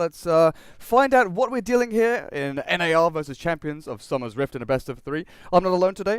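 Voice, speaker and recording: Dry and close with no echo, a man's high voice moves at a fairly quick pace with very wide pitch swings. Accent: British. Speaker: esports commentator. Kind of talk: live commentary. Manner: animated.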